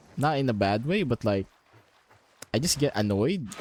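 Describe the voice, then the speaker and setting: A man speaks quietly at a moderate pace. His intonation is lively. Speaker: gaming streamer. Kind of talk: live gameplay commentary. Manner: quiet, holding voice down.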